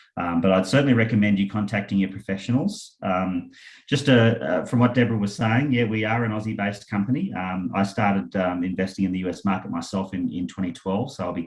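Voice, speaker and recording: Speaking very fast with an Australian accent, a man uses a fairly low pitch and ordinary pitch variation. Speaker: property investment company founder. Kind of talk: webinar presentation. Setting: online webinar with screen share. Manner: hesitant, many fillers.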